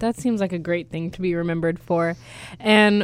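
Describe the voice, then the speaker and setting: A woman with an ordinary speaking voice talks at a fairly low pitch with ordinary pitch variation. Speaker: student radio host. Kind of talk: interview. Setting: studio.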